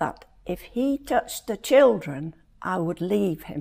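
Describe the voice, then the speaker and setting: A woman's voice with very wide pitch swings at a very slow pace. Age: 80s+. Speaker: domestic violence survivor. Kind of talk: scripted narration.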